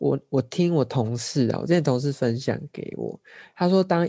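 On a very clean recording with a silent background, the man's voice comes through dark and mellow. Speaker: podcast co-host. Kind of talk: casual chat.

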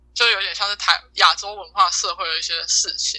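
This woman talks at a moderate pace. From Taiwan. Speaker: exchange student. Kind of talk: casual chat.

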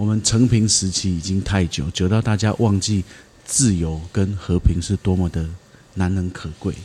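In a very deep, low pitch, a man speaks at a moderate pace with a dark, mellow tone and fairly even intonation. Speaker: podcast host. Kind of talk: casual chat.

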